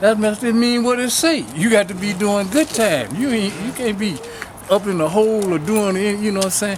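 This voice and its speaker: A man talks in a high voice at a moderate pace with ordinary pitch variation. Background noise is noticeable. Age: 70s. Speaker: community elder and activist. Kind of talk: speech at a march.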